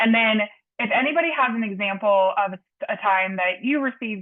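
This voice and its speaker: With ordinary pitch variation, a woman speaks fairly quickly. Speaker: panel moderator. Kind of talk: panel moderation. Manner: loud.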